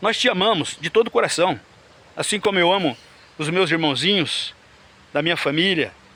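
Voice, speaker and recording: This man's high-pitched voice has a bright, sharp tone, moving at a moderate pace broken by long, frequent pauses. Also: ordinary pitch variation. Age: 60s. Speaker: lay preacher. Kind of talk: sermon. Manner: animated.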